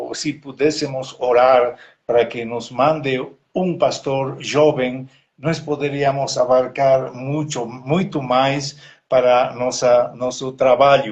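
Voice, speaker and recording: Somewhat breathy, a man speaks at a very slow pace in a medium pitch with fairly even intonation. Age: 70s. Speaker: missionary pastor. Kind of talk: live online interview, prayer requests. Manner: halting, many hesitations.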